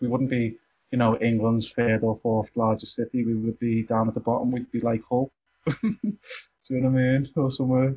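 With a Liverpool accent, a man speaks at a medium pitch in a monotone, flat way, at a fairly quick pace and very even loudness. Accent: Liverpool (Scouse). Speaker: community centre member. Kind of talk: casual chat.

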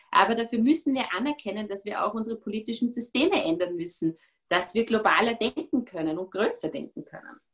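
A woman with a normal speaking voice talks fairly quickly at a fairly high pitch, with big swings in loudness. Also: lively intonation. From Austria, Vorarlberg. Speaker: politician. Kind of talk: interview.

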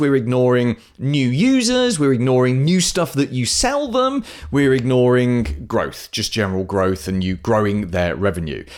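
A man with a British accent talks at a moderate pace and medium pitch with lively intonation, recorded very cleanly against a silent background. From UK. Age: 40s. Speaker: podcast host, marketing consultant. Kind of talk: podcast monologue.

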